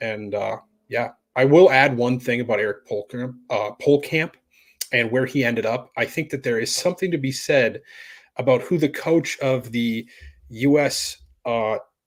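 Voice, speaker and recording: Man with an unremarkable speaking voice, medium pitch, moderate pace, very clean recording, silent background. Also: ordinary pitch variation. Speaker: sports podcast co-host. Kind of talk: casual podcast discussion.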